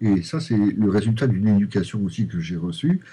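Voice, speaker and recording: With very wide pitch swings, a man speaks in a dark, mellow tone that is somewhat breathy. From Lorraine, France. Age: 50s. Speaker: novelist and primary school headteacher. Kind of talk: interview. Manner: halting, many repetitions and fillers.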